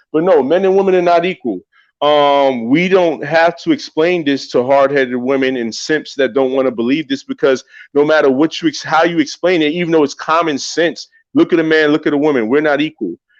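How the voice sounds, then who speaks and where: A man with an American accent, a fairly high pitch, ordinary pitch variation and a fairly quick pace, in a dry, close sound with no echo. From New York. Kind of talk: religious discussion podcast.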